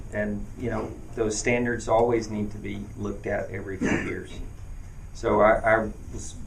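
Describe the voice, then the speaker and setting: A man with an American accent speaks at a moderate pace over noticeable background noise, with audible echo from the room. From US South, western North Carolina. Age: 40s. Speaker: mayoral candidate. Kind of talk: campaign Q&A at town hall. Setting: event with live audience. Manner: halting, many fillers.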